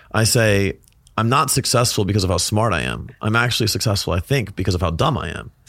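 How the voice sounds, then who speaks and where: Very fast speech with lively intonation and vocal fry. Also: man, fairly low pitch for a man. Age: 30s. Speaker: fitness business coach and speaker. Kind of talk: casual chat. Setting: studio. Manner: animated.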